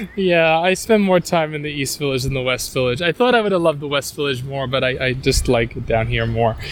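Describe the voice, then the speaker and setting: A man with a New York accent talks at a fairly quick pace with hardly any pauses, his pitch fairly high and his intonation lively. Background noise is noticeable. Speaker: tour guide and travel writer. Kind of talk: casual walking interview. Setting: outdoors, walking through a park. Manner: hesitant, repeats words.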